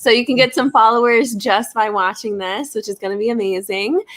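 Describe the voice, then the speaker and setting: A woman speaks with an American accent at a fairly high pitch. It is an unremarkable speaking voice with ordinary pitch variation. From Florida, US. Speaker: wellness business owner. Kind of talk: live stream interview. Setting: live video stream.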